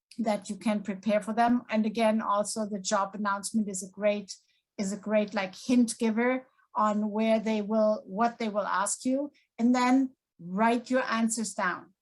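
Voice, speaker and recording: A woman's somewhat breathy, fairly high-pitched voice at a fairly slow pace, in a monotone with flat intonation. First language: non-English. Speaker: community college faculty panelist. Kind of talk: panel discussion.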